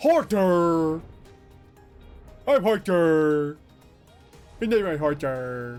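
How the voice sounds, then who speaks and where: Doing a put-on character voice, a man with a fairly high pitch and lively intonation speaks at a very slow pace with long, frequent pauses, while music plays faintly in the background. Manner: exaggerated announcing.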